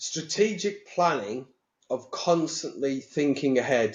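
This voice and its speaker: A man speaks at a very slow pace. He has a Teesside accent. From northern England, Teesside. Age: 60s. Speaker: mortgage industry bank executive. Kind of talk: casual interview chat. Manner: animated.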